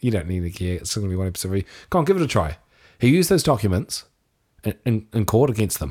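A man with a New Zealand accent and a fairly low pitch speaks very fast with lively intonation, in a very clean recording with a silent background. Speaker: podcast co-host. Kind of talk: casual banter chat.

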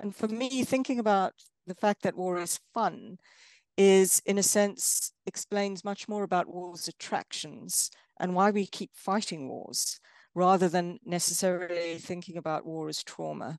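A woman of medium pitch talks at a fairly slow pace with ordinary pitch variation, her voice dry and close with no echo against a quiet background. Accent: South African. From South Africa. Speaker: film studies lecturer. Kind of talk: interview. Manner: thoughtful, with frequent fillers.

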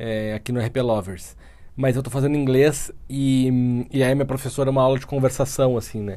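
Speaking at a moderate pace, a man of medium pitch has a dark, mellow tone. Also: fairly even intonation. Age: 30s. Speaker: podcast co-host. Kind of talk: casual chat.

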